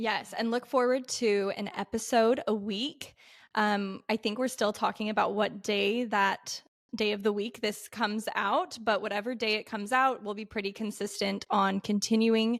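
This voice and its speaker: A woman with a General American accent speaks at a moderate pace in an unremarkable speaking voice, her fairly high pitch held to fairly even intonation on a very clean recording with a silent background. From Utah, Salt Lake City. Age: 20s. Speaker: podcast co-host, dental school applicant. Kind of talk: casual chat.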